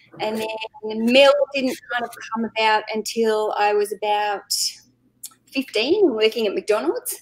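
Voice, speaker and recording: With an Australian accent, a woman speaks fairly slowly, with long, frequent pauses. Her voice is fairly high, and her pitch varies in an ordinary way. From Australia, Canberra. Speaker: eBay reseller. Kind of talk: casual chat. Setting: live stream.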